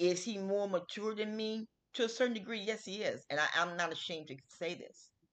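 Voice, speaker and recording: Pitch varies in an ordinary way, and the speed is moderate. It is a normal speaking voice. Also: woman. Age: 50s. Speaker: podcast host. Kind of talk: casual solo talk. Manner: casual, repetitive.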